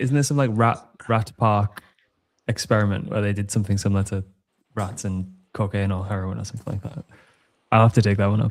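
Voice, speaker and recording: A man talks very fast in a fairly low voice with a British accent. Long, frequent pauses break up his speech, which has ordinary pitch variation. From Britain. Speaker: podcast co-host. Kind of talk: casual chat.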